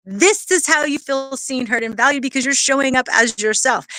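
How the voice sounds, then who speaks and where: A woman's high voice is raised and projected, with a bright, sharp tone. She speaks at a fairly quick pace in an animated tone. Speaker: networking coach and livestream host. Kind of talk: livestream motivational talk. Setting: outdoors. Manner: fast.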